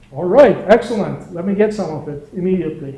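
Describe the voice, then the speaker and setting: A man with a Turkish accent, high in pitch, with ordinary pitch variation. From Turkey. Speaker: entrepreneur and workshop instructor. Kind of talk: lecture. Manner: casual, conversational.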